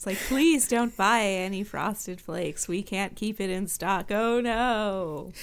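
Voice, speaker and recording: A woman speaks fairly slowly in a normal speaking voice, with ordinary pitch variation and hardly any pauses. The recording is very clean, with a silent background. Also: medium pitch for a woman. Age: 30s. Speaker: podcast co-host. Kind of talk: casual chat.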